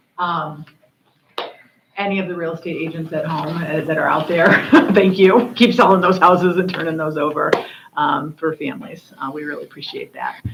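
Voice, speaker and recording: Her loudness swinging widely, a woman talks at a moderate pace with ordinary pitch variation. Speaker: school district administrator. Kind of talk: board meeting report. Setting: public board meeting. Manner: halting, many fillers.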